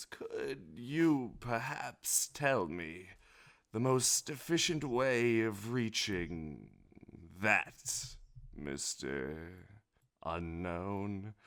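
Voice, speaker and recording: Using a put-on character voice, a man rumbles at a fairly low pitch, going very slowly with long, frequent pauses. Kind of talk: polite, formal.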